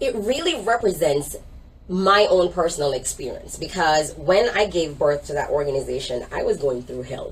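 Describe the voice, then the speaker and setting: Someone speaks with a Jamaican accent at a moderate pace. Noticeable background noise is present. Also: woman. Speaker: minister and organization leader. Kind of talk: interview testimony.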